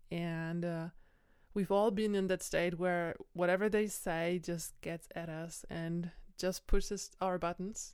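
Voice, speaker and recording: A woman's fairly low voice with a non-native accent, monotone and flat, at a very slow pace. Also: very clean recording, silent background. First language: not English. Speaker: podcast host, personal growth. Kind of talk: solo monologue. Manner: halting.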